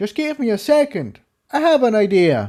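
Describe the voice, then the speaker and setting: Using a put-on character voice, a man talks high for a man at a moderate pace. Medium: read story.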